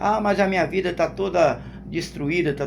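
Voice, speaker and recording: Amid audible room echo, a man talks at a high pitch with lively intonation. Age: 60s. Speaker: lay preacher. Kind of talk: sermon. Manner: halting, with repetitions.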